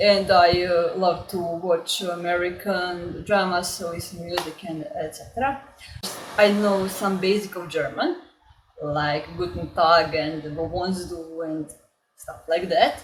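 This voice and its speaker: In a Croatian accent, a woman talks at a fairly slow pace with a fairly low pitch. Her intonation is fairly even, but her loudness swings a lot. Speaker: language learning YouTuber. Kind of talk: casual vlog introduction. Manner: halting, many filler words.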